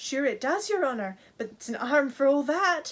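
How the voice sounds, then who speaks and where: With very wide pitch swings, a woman does a put-on character voice, high in pitch and at a moderate pace. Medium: read story. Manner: deferential, addresses master as "your honour".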